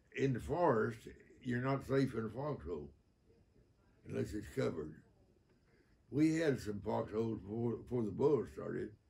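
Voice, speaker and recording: A man with a Southern US accent talks at a moderate pace, with long, frequent pauses and very wide pitch swings. His medium-pitched voice has a dark, mellow tone and vocal fry. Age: 80s+. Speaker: war veteran. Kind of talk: interview answer. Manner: humorous, candid.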